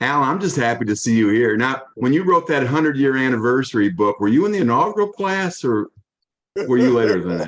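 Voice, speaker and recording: The speaker has an American accent and moves at a fairly quick pace. The pitch swings very widely. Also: man, medium pitch for a man. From US Midwest, University City, Missouri. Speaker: alumnus and former football player. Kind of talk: casual chat.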